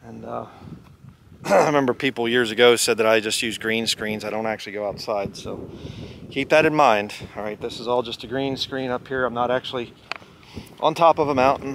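In a dry sound with no echo and light background noise, a man speaks at a fairly quick pace with ordinary pitch variation and big swings in loudness. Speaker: hiking vlogger. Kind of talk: casual vlog chat. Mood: relaxed, joking. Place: open country. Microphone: phone near.

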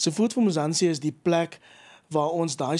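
Against a quiet background, a man with an unremarkable speaking voice talks at a fairly high pitch. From South Africa. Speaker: agricultural initiative founder; interview guest. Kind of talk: radio interview. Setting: studio. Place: studio. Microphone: studio mic.

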